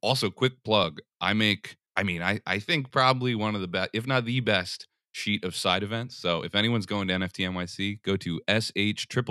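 A man with an American accent has a normal speaking voice, fairly low in pitch with ordinary pitch variation. The recording is very clean, with a silent background and a dry, close sound with no echo. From US Northeast, Philadelphia. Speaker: collector and entrepreneur. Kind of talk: interview.

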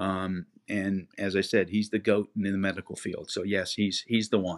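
Against a silent background on a very clean recording, a man with an American accent and fairly low pitch speaks at a moderate pace in monotone, flat intonation. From Florida (Cocoa Beach). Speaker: former athletic trainer. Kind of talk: interview.

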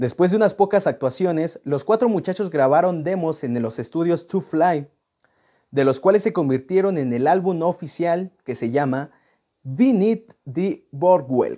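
A man with a high pitch and lively intonation speaks with a Mexican accent on a very clean recording with a silent background. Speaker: music podcast host. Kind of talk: casual chat; reading aloud.

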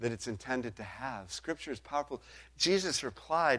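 An unremarkable speaking voice from a man, fairly high-pitched with lively intonation, at a fairly quick pace on a very clean recording with a silent background. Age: 50s. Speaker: pastor. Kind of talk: sermon.

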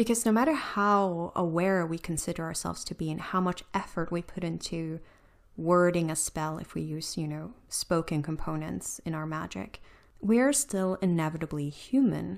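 Here is an ordinary speaking voice at a moderate pace, with ordinary pitch variation. The recording is very clean, the background silent. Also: woman, fairly low pitch for a woman. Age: 30s. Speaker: podcast host. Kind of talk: personal monologue.

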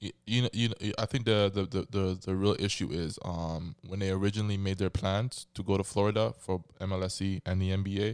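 A man speaks in a normal speaking voice at a fairly low pitch and a fairly quick pace, with fairly even intonation, in a very clean recording with a silent background and a dry, close sound with no echo. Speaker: podcast host. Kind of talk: casual chat.

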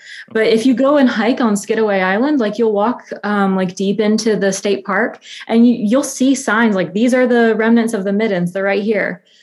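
Lively in intonation, a woman with an American accent has an ordinary speaking voice, fairly high in pitch, at a moderate pace. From US South, north Alabama. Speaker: photographer and art history student. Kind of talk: casual interview.

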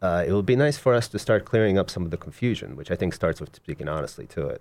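This man has a very deep, low voice and an American accent. He talks at a very fast pace with hardly any pauses. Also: very clean recording, silent background. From Russia and South Florida. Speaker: poet and novelist. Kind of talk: casual interview.

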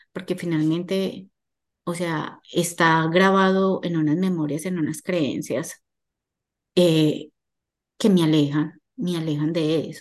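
A woman with a fairly low pitch talks very slowly, with fairly even intonation and long, frequent pauses. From Colombia, Medellín. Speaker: holistic therapist and numerologist. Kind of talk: casual interview chat.

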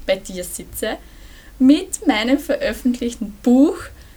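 A woman speaks at a fairly slow pace. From Burgenland, Austria. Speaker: energy healer, author, former social worker. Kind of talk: casual interview. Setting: in person.

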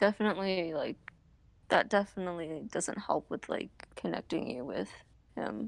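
A woman with vocal fry talks at a fairly low pitch and a moderate pace, using lively intonation with long, frequent pauses. The recording is very clean, with a silent background. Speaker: podcast co-host. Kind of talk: casual chat.

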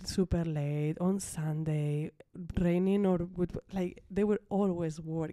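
In a very clean recording with a silent background, a woman with a Spanish accent speaks at a fairly low pitch, her tone dark and mellow and her intonation fairly even. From Ibiza, Spain. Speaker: interior designer. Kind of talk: interview. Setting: studio.

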